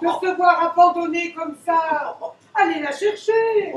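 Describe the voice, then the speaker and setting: This cartoonish character voice has an extremely high pitch. It moves at a fairly slow pace. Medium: puppet show. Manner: insistent, coaxing.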